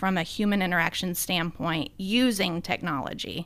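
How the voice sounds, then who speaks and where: A woman with a Southern US accent on a very clean recording, background silent. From US South, Middle Tennessee (Sumner County). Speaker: pest control company CEO. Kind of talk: interview.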